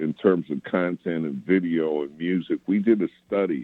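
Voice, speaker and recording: A man with an American accent speaks at a very deep, low pitch. His pace is fairly slow. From New York City (Queens). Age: 60s. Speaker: radio program director. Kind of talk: interview conversation.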